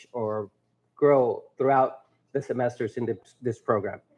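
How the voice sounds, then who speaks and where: In a Spanish accent, a man speaks at a moderate pace. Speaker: teacher. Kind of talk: graduation speech. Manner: halting.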